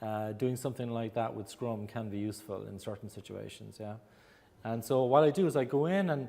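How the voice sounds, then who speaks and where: In an Irish accent, a man speaks at a fairly quick pace in a dark, mellow tone, with ordinary pitch variation and big swings in loudness. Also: medium pitch for a man. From Ireland. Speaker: agile coach and consultant. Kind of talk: presentation to audience.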